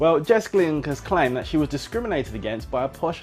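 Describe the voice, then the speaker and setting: A playful tone over music in the background. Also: man. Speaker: radio presenter. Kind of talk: gossip radio presenter showreel. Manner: chatty, playful, sarcastic.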